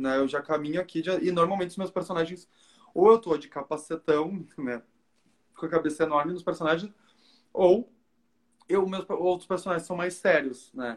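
Moderate-paced speech from a man, high in pitch, its pitch varying in an ordinary way. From southern Brazil, Porto Alegre. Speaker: cosplayer. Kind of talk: casual chat.

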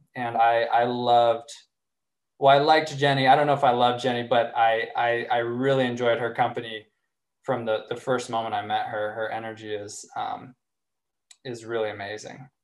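With audible room echo around him, a man of medium pitch speaks at a moderate pace in a monotone, flat intonation. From US South, Arkansas. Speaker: relationship coach. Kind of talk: casual interview conversation.

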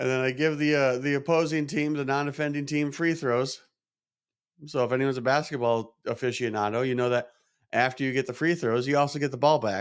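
At a fairly quick pace, a man with a medium-pitched voice talks in an animated tone over a very clean recording with a silent background. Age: 30s. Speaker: podcast host. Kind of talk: casual monologue. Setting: small podcast studio in a chiropractic office.

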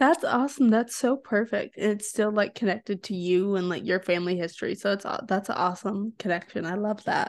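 Here is a woman with an ordinary speaking voice at a medium pitch. She talks at a fairly quick pace with ordinary pitch variation. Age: young. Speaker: podcast host. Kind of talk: interview conversation.

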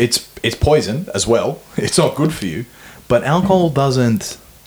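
A man talks at a moderate pace with an Australian accent. His pitch is medium. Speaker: podcast host. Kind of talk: casual chat.

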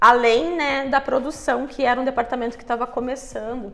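Noticeable background noise sits under this recording. The woman speaking has a high pitch. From Brazil, Curitiba. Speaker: digital marketing entrepreneur. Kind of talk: interview.

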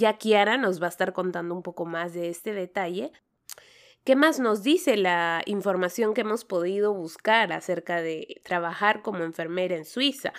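In a plain, everyday voice, a woman speaks at a moderate pace and medium pitch with ordinary pitch variation, in a very clean recording with a silent background. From Peru. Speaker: nurse and podcast host. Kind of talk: interview podcast.

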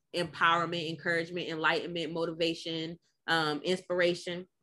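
Against a quiet background, a woman with an American accent speaks at a fairly low pitch in a bright, sharp tone with monotone, flat intonation. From Washington, D.C. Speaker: psychologist and mental health advocate. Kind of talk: podcast interview.

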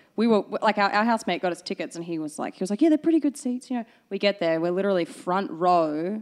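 Rattling along at a very fast pace, a woman at a medium pitch makes very wide pitch swings, the sound dry and close with no echo over a quiet background. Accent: Australian. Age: 30s. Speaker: baker. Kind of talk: casual chat.

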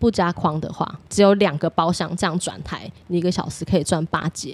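This woman has a plain, everyday voice with a fairly low pitch. Her intonation stays fairly even and her pace is moderate. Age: 30s. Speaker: former hostess. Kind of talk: interview.

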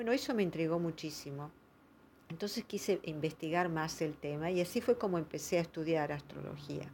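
In a very clean recording with a silent background, a woman with an ordinary speaking voice talks at a fairly quick pace, her pitch fairly low with ordinary variation. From Argentina, provinces. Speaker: astrologer. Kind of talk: monologue talk.

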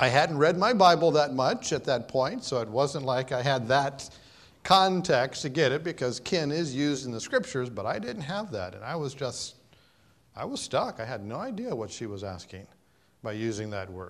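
Lively intonation and big swings in loudness mark this man's medium-pitched voice with an American accent at a moderate pace. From US Midwest. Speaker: pastor. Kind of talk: sermon. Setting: church.

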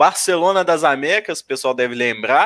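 Captured with a dry, close sound and no echo, a man speaks with lively intonation. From inland Minas Gerais, Brazil. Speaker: football YouTuber. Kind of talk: casual chat.

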